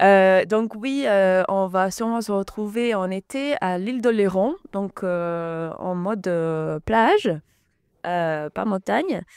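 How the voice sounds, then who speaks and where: In an English accent, a woman speaks very slowly at a medium pitch with ordinary pitch variation. The recording is very clean, with a silent background. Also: dry, close sound with no echo. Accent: noticeable English accent in French. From England, moved to Gers (south-west France) at 11. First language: English (speaking French). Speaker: singer. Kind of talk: radio interview. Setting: radio studio. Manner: halting, many hesitations.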